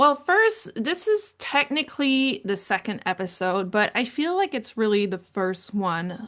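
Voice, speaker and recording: Speaking fairly slowly, a woman has a French Canadian accent. The background is quiet. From Canada, francophone New Brunswick. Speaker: podcast host on leadership. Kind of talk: personal storytelling monologue.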